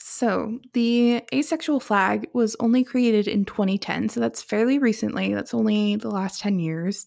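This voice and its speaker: A woman with a normal speaking voice talks in a fairly high pitch with ordinary pitch variation. Her pace is moderate, with hardly any pauses. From Seattle, US Pacific Northwest. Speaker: podcast co-host. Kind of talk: casual chat. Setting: remote recording in her kitchen.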